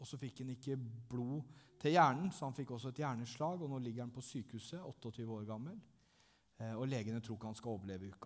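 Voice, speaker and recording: Words come very fast from a man. His pitch variation is ordinary. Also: medium pitch for a man. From southern Norway (Langesund). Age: 30s. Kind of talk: testimony in church. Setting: church.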